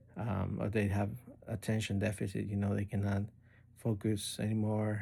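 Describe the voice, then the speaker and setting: On a very clean recording with a silent background, a man with a fairly low pitch and a dark, mellow, somewhat breathy tone speaks in a monotone, flat intonation. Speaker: spiritual course student. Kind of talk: recorded course assignment monologue. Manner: halting, many fillers.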